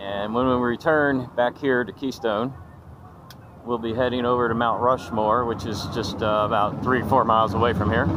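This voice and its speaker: Intonation stays fairly even, and the sound is dry with no echo. Noticeable background noise is present. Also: man, moderate pace. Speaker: travel vlogger. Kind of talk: casual vlog chat. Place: street. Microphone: phone near.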